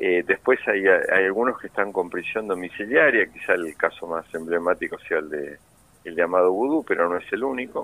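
Delivered at a moderate pace, the speech has a dry, close sound with no echo. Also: man. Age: 60s. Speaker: political prisoner, former official. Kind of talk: phone interview.

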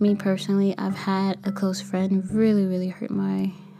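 A woman at a medium pitch and moderate pace. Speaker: podcast host and kindergarten teacher. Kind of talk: solo podcast monologue.

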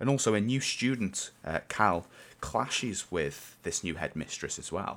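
In a very clean recording with a silent background, a man with a normal speaking voice talks at a fairly low pitch and a fairly slow pace, his intonation lively. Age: 20s. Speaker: podcast host. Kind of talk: casual solo monologue.

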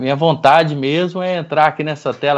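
A man talks at a moderate pace. His fairly high voice keeps a fairly even intonation. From Goiânia, central Brazil. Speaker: franchise business owner. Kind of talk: interview, life story.

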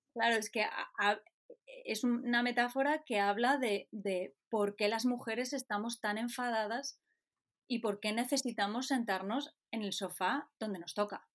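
On a very clean recording with a silent background, a woman with a fairly high pitch talks fairly slowly with fairly even intonation. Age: 40s. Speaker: photojournalist. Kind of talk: interview. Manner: halting.

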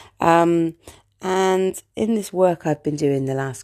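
The very slow speech has ordinary pitch variation, captured in a very clean recording with a silent background and a dry, close sound free of echo. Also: woman. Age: 30s. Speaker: life coach podcaster. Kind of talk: casual monologue. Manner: hesitant, many fillers; laughs often.

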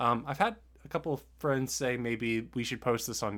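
A man talks at a moderate pace in a normal speaking voice of medium pitch. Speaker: podcast host. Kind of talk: casual chat, movie review podcast.

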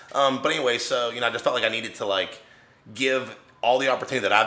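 A man with an American accent, talking at a very fast pace over noticeable background noise. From West Virginia, Wheeling. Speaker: bodybuilder and real estate investor. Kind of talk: casual interview chat. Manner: hesitant, filler-heavy.

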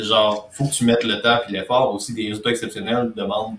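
Speaking with a Quebec accent, a man talks at a fairly quick pace and medium pitch with fairly even intonation. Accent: Québécois French. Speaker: podcast host, fitness coach. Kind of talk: casual interview.

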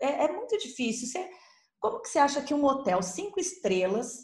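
A high-pitched woman with a slight São Paulo accent speaks with very wide pitch swings amid audible room echo. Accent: slight caipira accent with rolled R. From Ribeirão Preto, interior of São Paulo, Brazil. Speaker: travel agent. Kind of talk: casual chat.

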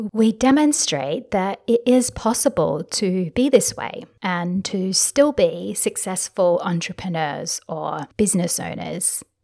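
Very slowly and with hardly any pauses, a woman speaks at a medium pitch with vocal fry, very wide pitch swings and big swings in loudness, in a dry, close sound with no echo. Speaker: life and business coach podcaster. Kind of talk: solo podcast monologue. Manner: gentle, shy, warm.

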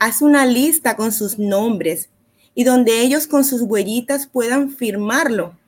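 Speaking very slowly, a woman uses a high pitch with ordinary variation. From Barranquilla, Colombia. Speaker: psychologist. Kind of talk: advice talk on parenting.

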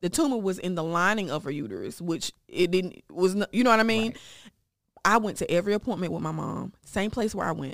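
On a very clean recording with a silent background, a woman of medium pitch talks at a fairly quick pace with vocal fry. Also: ordinary pitch variation. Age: 30s. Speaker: breast cancer survivor. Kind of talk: personal testimony.

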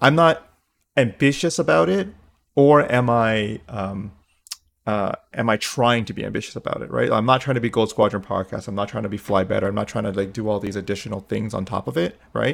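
This man has an ordinary speaking voice, fairly low in pitch with ordinary pitch variation. He talks at a fairly quick pace. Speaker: podcast host. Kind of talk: casual interview chat.

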